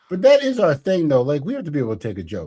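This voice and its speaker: This is a man's voice. He mumbles. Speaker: podcast host and comedian. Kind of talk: casual chat. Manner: mumbling.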